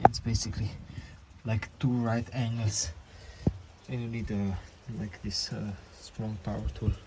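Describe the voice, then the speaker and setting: Over noticeable background noise, a man speaks at a fairly slow pace with long, frequent pauses, a fairly low pitch and fairly even intonation. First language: not English. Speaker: mechanic doing a repair tutorial. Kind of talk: tutorial. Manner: halting, with many fillers.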